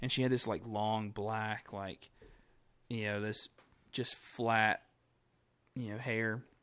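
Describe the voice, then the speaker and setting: With an American accent, a man talks in a flat monotone at a very slow pace, leaving long, frequent pauses. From North Carolina. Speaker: illustrator. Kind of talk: casual chat. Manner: halting.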